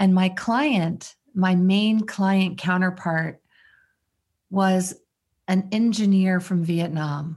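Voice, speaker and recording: A woman's somewhat breathy, medium-pitched voice at a very slow pace, with long, frequent pauses, fairly even intonation and very even loudness, on a very clean recording with a silent background. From Maryland, US. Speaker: mindfulness teacher and leadership consultant. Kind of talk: interview.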